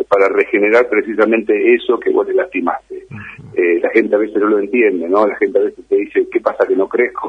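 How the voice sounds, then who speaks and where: The speaker is a man with an Argentine accent. He talks at a fairly quick pace. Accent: Argentine Spanish (voseo). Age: 50s. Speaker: fitness trainer and bodybuilder. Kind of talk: interview.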